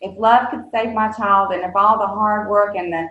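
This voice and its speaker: A woman at medium pitch speaks with a Southern US accent. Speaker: nonprofit executive director and mother of an addict. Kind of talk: podcast interview. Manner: hesitant, many fillers.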